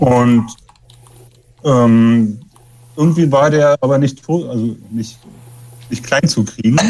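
A man speaks at a very slow pace with long, frequent pauses. His pitch varies in an ordinary way. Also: medium pitch for a man. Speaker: punk musician. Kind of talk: interview. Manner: soft-spoken. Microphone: too quiet.

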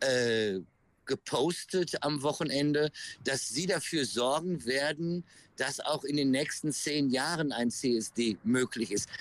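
At a very slow pace, a man with a fairly high pitch keeps his loudness very even. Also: ordinary pitch variation. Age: 50s. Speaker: pride event organizer. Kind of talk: interview. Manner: halting, many fillers.

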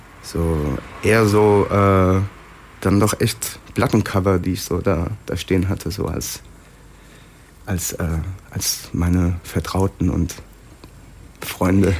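A man speaks at a very slow pace, with long, frequent pauses. His pitch is very deep and low, and his intonation fairly even. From Hesse, Germany. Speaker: podcast guest, writer who took part in a space study. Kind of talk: casual interview chat.

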